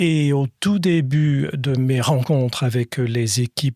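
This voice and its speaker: At a very slow pace, a man talks in a medium-pitched voice with ordinary pitch variation. The sound is dry and close, with no echo. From Scotland and France. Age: 60s. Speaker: patient, former lawyer. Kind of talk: podcast interview. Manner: hesitant, many fillers.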